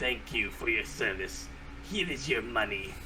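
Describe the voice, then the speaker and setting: Against loud background noise, a man uses a put-on character voice at a moderate pace. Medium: actual play.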